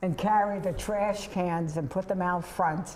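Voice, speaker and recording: The speaker has a New York accent and a fairly even intonation at a moderate pace. Room echo is audible, and background noise is noticeable. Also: woman. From New York City (Bronx, Staten Island). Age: 70s. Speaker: veterans' organization volunteer. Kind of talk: casual interview conversation.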